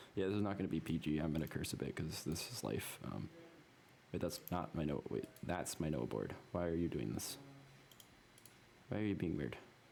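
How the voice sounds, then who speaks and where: The intonation is lively, with vocal fry in the voice. Long, frequent pauses break up the speech. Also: man, very deep, low pitch for a man. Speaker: programming tutorial creator. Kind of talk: screen-recorded coding tutorial. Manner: fast; casual, halting with many ums.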